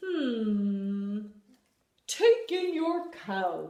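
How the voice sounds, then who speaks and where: A put-on character voice, female-sounding and fairly high in pitch, carries the clip. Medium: read story. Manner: calm, deliberate, ponderous.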